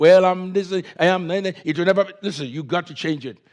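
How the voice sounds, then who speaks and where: A man with an African accent and high pitch at a moderate pace, in a very clean recording with a silent background. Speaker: pastor. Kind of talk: sermon.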